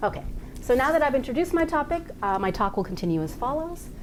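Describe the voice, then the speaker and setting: A woman talks at a fairly quick pace with very wide pitch swings, and audible room echo surrounds her voice. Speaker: legal scholar presenting a paper. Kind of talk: academic conference talk. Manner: fast.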